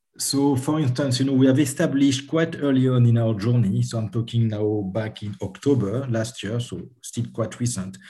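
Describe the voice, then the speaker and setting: Speaking at a moderate pace with hardly any pauses, a man with a French accent has a somewhat breathy, dark, mellow tone, a medium pitch and ordinary pitch variation. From France. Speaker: HR and sales enablement executive. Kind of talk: interview.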